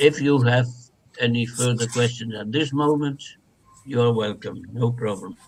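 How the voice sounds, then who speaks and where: Speaking at a moderate pace, a man with a medium pitch sounds somewhat breathy and keeps his intonation fairly even. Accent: Flemish Belgian. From Flanders, Belgium. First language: Dutch. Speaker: translation studies professor. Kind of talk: academic interview.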